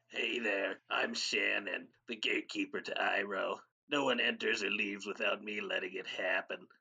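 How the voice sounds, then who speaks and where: A man puts on a raspy character voice. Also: moderate pace. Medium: audio drama.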